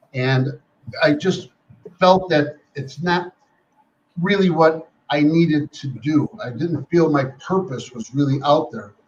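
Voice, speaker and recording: Breathing somewhat breathily, a man with a fairly high pitch talks at a very slow pace with long, frequent pauses and ordinary pitch variation. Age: 70s. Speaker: life coach. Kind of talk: interview.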